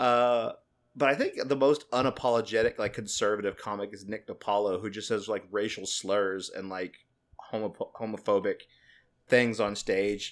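The recording is very clean with a silent background. A man with a plain, everyday voice talks at a fairly low pitch and moderate pace, with fairly even intonation. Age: 30s. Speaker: podcast co-host. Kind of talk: casual chat.

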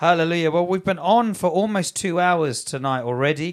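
This man talks at a fairly quick pace with lively intonation in an ordinary speaking voice. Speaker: church pastor hosting live broadcast. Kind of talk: live-streamed ministry broadcast, interview. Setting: live online broadcast.

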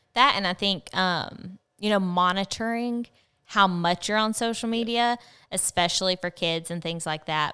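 Over a silent background on a very clean recording, a woman with a Southern US accent talks at a moderate pace in a bright, sharp tone with ordinary pitch variation. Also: medium pitch for a woman. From Arkansas. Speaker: podcast host. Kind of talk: casual chat. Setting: studio.

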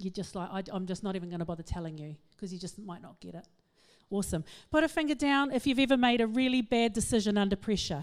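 On a very clean recording with a silent background, a woman at medium pitch talks at a very fast pace in an animated tone, with lively intonation and big swings in loudness. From England. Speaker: psychologist and speaker, guest speaker at a church. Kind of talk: church talk on mental wellbeing. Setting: church with audience. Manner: animated, fast.

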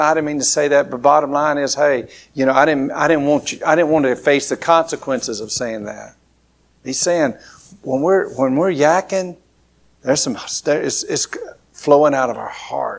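With an Alabama accent, a man talks at a fairly quick pace. His pitch varies in an ordinary way. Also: fairly high pitch for a man. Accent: Southern US, Alabama. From southern Alabama. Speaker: pastor. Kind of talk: sermon. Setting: church. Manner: informal, conversational, with hesitations.

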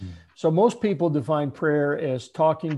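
A man speaks in an ordinary speaking voice with ordinary pitch variation. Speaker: pastor and prayer author. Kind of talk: conversational interview discussion.

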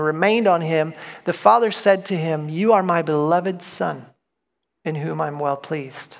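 A man's high-pitched voice holds a moderate pace and ordinary pitch variation. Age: 40s. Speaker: pastor. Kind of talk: sermon. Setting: church.

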